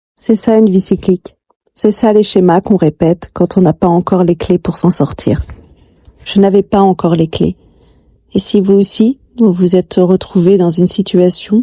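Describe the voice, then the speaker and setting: A dark, mellow, somewhat breathy voice with fairly even intonation and a dry, close sound with no echo. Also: woman. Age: 40s. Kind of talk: confessional personal life story narration.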